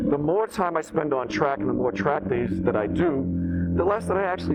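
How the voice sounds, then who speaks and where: Noticeable background noise and audible room echo surround a man whose fairly high voice moves in very wide pitch swings. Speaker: motorcycle vlogger. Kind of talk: motovlog while riding. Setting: outdoors on a motorcycle. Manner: hesitant, many fillers.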